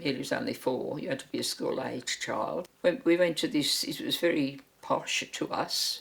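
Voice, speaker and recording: A woman talks with hardly any pauses. Noticeable background noise can be heard. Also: moderate pace. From Birmingham, England. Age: 80s+. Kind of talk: interview answer.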